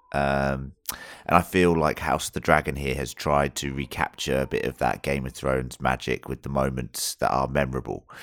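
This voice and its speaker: At a moderate pace and with hardly any pauses, a man speaks in a very deep, low voice with vocal fry and monotone, flat intonation, recorded dry and close with no echo. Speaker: podcast host. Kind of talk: casual chat.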